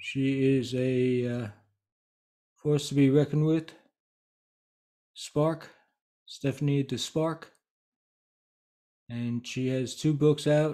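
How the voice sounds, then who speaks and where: A man talks at a very slow pace in monotone, flat intonation. Long, frequent pauses break up his speech against a quiet background. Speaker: speaking coach. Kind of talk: casual vlog chat. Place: home room. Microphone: webcam.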